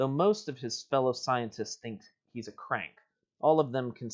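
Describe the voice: Plain reading aloud comes through with ordinary pitch variation over a quiet background.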